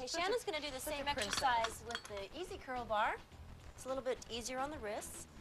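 Noticeable background noise runs under the clip. A woman speaks at a fairly quick pace. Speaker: fitness show host. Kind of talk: tutorial. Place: gym.

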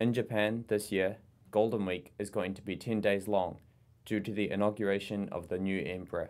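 With a New Zealand accent, a man speaks at a moderate pace in a fairly low, monotone voice with flat intonation. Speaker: international relations coordinator. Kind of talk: language lesson. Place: meeting room.

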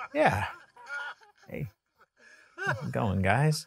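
Raspy and medium in pitch, a man's put-on character voice comes through. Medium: stage. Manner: polite, hesitant.

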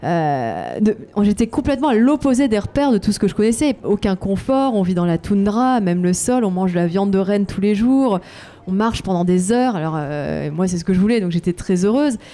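A woman talks at a moderate pace, her pitch medium. Her intonation is lively. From France. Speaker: adventurer and author. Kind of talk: interview. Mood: reflective, warm. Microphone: handheld.

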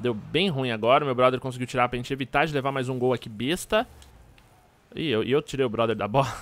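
A very fast male voice in a São Paulo accent, dry with no echo. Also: ordinary pitch variation. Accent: São Paulo Brazilian Portuguese. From Minas Gerais, Brazil. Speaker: gaming youtuber. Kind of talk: gameplay commentary. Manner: animated.

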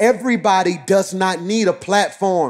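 A man's voice with fairly even intonation. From Alabama, Birmingham. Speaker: senior pastor. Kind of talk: sermon. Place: church.

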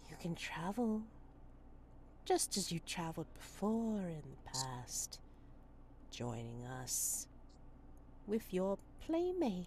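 In a put-on character voice, a woman speaks at a very slow pace with long, frequent pauses over clear background noise. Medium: actual play. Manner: gossipy, sly.

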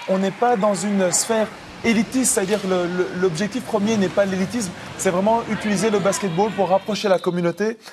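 There is light background noise behind this man's voice. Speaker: basketball expert and development coach. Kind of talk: TV interview. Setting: TV studio. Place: studio. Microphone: lapel.

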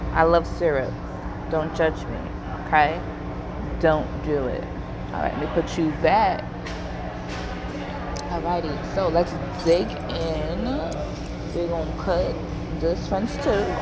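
Over loud background noise, a woman speaks very slowly with long, frequent pauses. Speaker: food vlogger. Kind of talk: casual vlog chat. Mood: cheerful, playful. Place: cafe. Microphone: earbuds.

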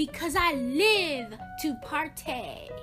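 A woman uses a put-on character voice, high in pitch with a bright, sharp tone and lively intonation. She speaks at a slow pace over faint music in the background.

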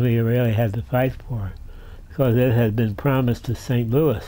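The voice carries an amused tone that is dark and mellow. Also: man. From southeastern Pennsylvania (Doylestown). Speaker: retired railroad museum director and rail historian. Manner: gently amused, chuckling warmly at his own anecdotes. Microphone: camera far.

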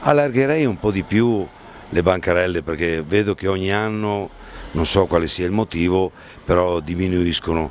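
A man with a very deep, low voice talks at a moderate pace, pausing long and often, in a dry recording with no echo and light background noise. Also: ordinary pitch variation. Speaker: interviewee. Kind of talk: interview answer. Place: street. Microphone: handheld.

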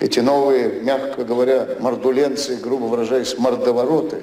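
Amid light background noise and audible room echo, a man speaks at a moderate pace. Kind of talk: satirical stage monologue. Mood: ironic, deadpan delivery. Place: stage. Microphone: podium.

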